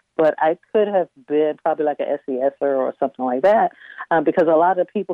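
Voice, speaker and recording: A woman with an American accent talks at a very fast pace. Her pitch is very deep and low, with ordinary variation. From Northern Neck of Virginia. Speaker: software engineer and B&B owner. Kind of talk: interview.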